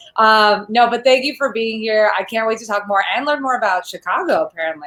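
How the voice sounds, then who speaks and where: A woman's fairly high, bright, sharp voice with an animated tone, lively intonation and a fairly quick pace. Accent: American. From New York City, Queens. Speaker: panel moderator. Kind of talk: casual chat.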